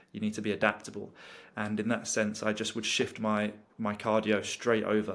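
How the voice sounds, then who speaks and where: With a British accent, a man speaks at a moderate pace in a fairly low, flat monotone on a very clean recording with a silent background. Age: 20s. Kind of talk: interview conversation.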